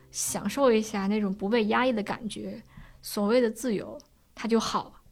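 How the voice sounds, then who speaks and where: Hers is a normal speaking voice, pitched fairly high with ordinary variation and delivered at a moderate speed. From Beijing suburbs. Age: 20s. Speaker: storyteller with depression. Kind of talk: personal testimony.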